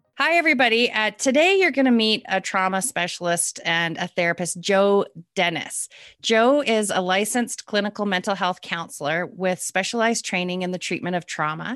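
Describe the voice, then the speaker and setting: A woman with an ordinary speaking voice talks at a moderate pace in a medium pitch with lively intonation. The background is quiet. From Calgary, Canada. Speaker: podcast host. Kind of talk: interview, casual conversation.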